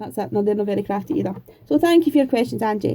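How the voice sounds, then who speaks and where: Woman with a Scottish accent, a dark, mellow tone and very wide pitch swings. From Scotland, Edinburgh. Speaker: craft YouTuber. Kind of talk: Q&A vlog, casual chat.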